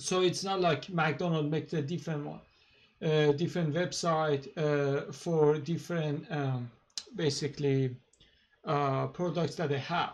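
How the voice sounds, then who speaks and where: Fairly slow and somewhat breathy, a man speaks with fairly even intonation. His pitch is fairly high. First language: Persian. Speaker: YouTuber, political commentator. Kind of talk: casual monologue. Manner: halting, many fillers.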